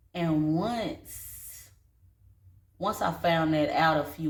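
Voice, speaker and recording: A woman speaks with a very deep, low pitch, a relaxed tone and vocal fry. Her intonation stays fairly even. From North Carolina, Statesville. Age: 30s. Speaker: vlogger and dance studio owner. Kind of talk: casual personal vlog. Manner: casual, relaxed.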